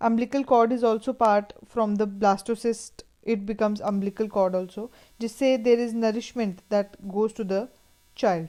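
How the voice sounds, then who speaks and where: Speaking at a moderate pace with an Indian accent, this voice has a dark, mellow tone and fairly even intonation. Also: woman, fairly high pitch for a woman. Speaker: teacher. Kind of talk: lecture. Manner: halting.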